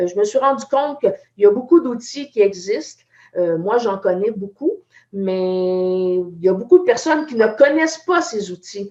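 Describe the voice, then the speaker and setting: The voice moves at a fairly slow pace. Its pitch swings very widely. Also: woman, fairly high pitch for a woman. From Quebec. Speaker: IT entrepreneur. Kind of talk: live video chat.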